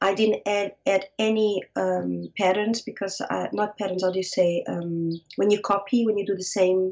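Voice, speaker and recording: A woman's flat monotone at a moderate pace, with hardly any pauses. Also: medium pitch for a woman. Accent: Portuguese. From Portugal, Lisbon. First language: Portuguese. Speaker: fiber artist. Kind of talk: interview. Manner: halting.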